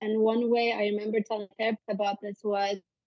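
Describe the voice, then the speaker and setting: A woman with a Turkish accent talks at a fairly quick pace. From Turkey (Istanbul). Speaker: psychologist. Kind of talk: interview conversation.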